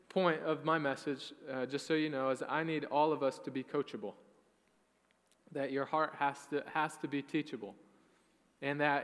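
The speaker is a man. He keeps to a moderate pace. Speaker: pastor. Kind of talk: sermon. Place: church. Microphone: headset.

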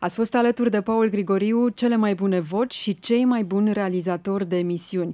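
A woman's fairly quick speech with hardly any pauses, a dark, mellow tone and a quiet background. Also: fairly even intonation. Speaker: radio host. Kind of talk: radio interview. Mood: warm, respectful. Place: studio. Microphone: studio mic.

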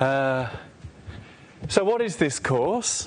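The man talks very slowly while light background noise sits behind him. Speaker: lecturer. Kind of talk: lecture. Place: classroom. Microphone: lapel.

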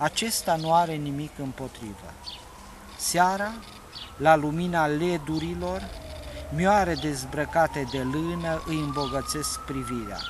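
Recorded with a dry sound and no echo yet noticeable background noise, a man speaks at a very slow pace with ordinary pitch variation and long, frequent pauses. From Romania. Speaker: poet. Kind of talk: poetry reading, satirical prose-poem read aloud. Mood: calm, wry. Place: open country.

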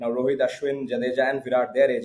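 A man with a Bengali accent. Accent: Indian English, Bengali. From India, Bengal. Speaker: cricket podcast co-host. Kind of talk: casual chat. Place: home room. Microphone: video call.

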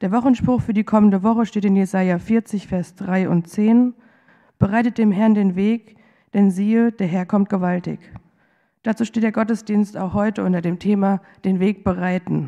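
A woman's dark, mellow voice at a moderate pace, with fairly even intonation over a quiet background. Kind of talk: church service welcome and announcements. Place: church. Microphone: podium.

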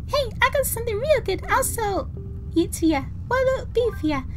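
A squeaky, extremely high-pitched put-on character voice at a moderate pace, with clear background noise. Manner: silly, salesman-like.

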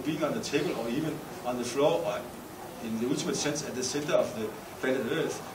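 This man talks at a very fast pace with ordinary pitch variation. Noticeable background noise runs behind him. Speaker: speaker. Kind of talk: panel discussion talk. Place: hall. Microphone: podium.

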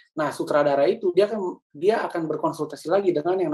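Nothing much can be heard behind him, as the background is quiet. The man talks very fast. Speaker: communication trainer, church media producer; trainer. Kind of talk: lecture. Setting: video call. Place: home room. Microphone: webcam.

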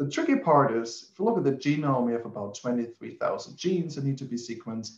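A man's somewhat breathy voice at a fairly quick pace, with audible room echo and a quiet background. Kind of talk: lecture. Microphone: webcam.

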